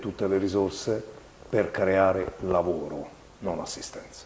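With light background noise behind him, a man speaks at a fairly low pitch in a monotone, flat way. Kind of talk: televised political address. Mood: firm, critical. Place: office. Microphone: lapel.

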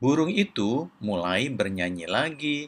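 Speaking at a fairly slow pace, a man uses big pitch swings at a medium pitch, his tone fairly bright.

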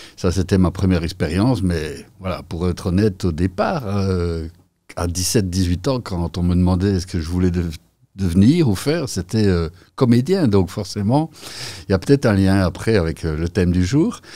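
A man speaks at a very deep, low pitch and a moderate pace, with ordinary pitch variation. His tone is dark and mellow. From Belgium, Mons-Borinage (Hainaut); Hainaut, Belgium. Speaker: entrepreneur; podcast guest. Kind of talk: interview. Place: studio. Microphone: studio mic.

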